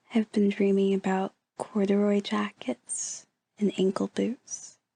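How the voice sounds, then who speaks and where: A woman's dark, mellow, gentle tone at a fairly slow pace, with monotone, flat intonation and a dry, close sound with no echo. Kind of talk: ASMR relaxation talk. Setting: indoors, bedroom. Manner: gentle, soft-spoken, whispery.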